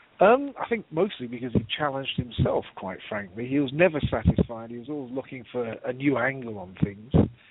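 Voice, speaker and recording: A man with a British accent talks at a fairly quick pace with hardly any pauses. His pitch is medium with ordinary variation, and his loudness swings a lot. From UK. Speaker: nonprofit consultant. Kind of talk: memorial interview on radio.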